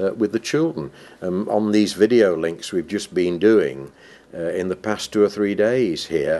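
The passage is read aloud in a natural voice.

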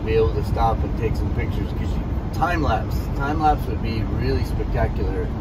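A man talks at a moderate pace. Loud background noise is present. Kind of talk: casual vlog chat. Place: car. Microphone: camera far.

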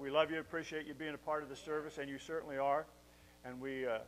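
Fairly even intonation holds as a man races along at a very fast pace. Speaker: pastor. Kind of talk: sermon. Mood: warm, joking. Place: church. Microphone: podium.

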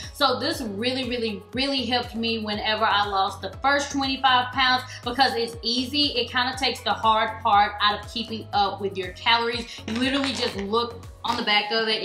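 A woman speaks at a moderate pace with ordinary pitch variation, with audible room echo and faint music in the background. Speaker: lifestyle vlogger. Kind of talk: casual vlog chat. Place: kitchen.

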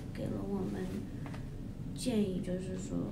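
Loud noise fills the background while a woman speaks. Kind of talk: casual vlog chat.

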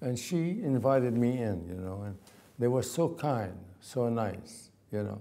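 Speaking at a fairly slow pace, a man with an Arabic accent has a dark, mellow tone. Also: lively intonation. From Palestine. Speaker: oral history interviewee; interviewee. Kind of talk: oral history interview. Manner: halting. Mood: reflective, earnest. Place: home room. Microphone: lapel.

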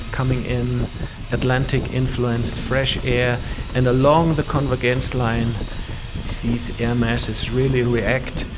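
A man talks at a fairly slow pace in a flat monotone, his loudness very even. Noticeable background noise sits behind him. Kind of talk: commentary.

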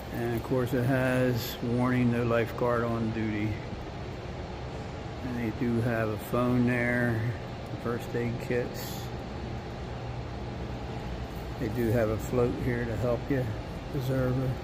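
A very slow pace over loud background noise. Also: man. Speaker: hotel guest vlogger. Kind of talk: casual tour narration. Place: hall. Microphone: phone near.

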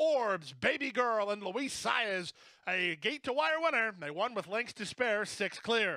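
Raising and projecting his voice, a man speaks in an excited tone that is bright and sharp, his pitch high. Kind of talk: live race call. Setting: racetrack PA or broadcast booth. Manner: rapid-fire, urgent, building to excited crescendos as horses surge at the finish.

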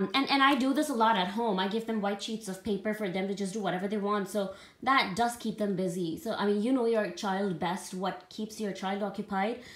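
A woman's voice with ordinary pitch variation, a moderate pace and audible room echo. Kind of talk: casual vlog chat. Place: home room. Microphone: phone near.

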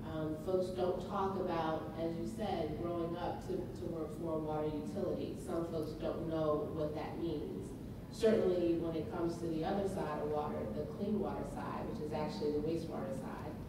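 A woman at a moderate pace, with audible room echo and loud background noise. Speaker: panelist. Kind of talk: panel presentation. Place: hall.

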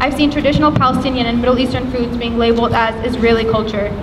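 Over loud background noise, the speaker rushes at a very fast pace in a monotone, flat intonation. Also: woman. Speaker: student organizer. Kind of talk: rally speech. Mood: sorrowful, earnest. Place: street. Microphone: podium.

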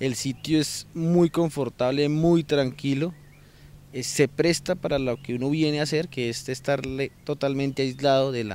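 Dry sound with no echo carries a fairly slow pace and fairly even intonation. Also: man. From Colombia, Bogotá. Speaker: insurance broker, language student. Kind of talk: testimonial. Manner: halting, many fillers and repetitions. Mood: calm, positive. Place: garden. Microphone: handheld.

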